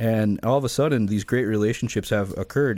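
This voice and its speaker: Here a man talks at medium pitch with ordinary pitch variation. The recording is very clean, with a silent background. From Florida. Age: 30s. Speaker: car dealership owner. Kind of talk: radio interview.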